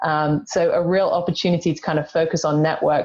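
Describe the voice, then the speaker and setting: A woman with an English accent speaks in a fairly low pitch with fairly even intonation. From England. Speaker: executive search consultant. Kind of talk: panel discussion.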